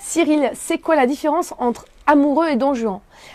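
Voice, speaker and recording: A woman with ordinary pitch variation. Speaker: personal development coach. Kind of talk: live stream Q&A workshop. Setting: live video stream. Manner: fast.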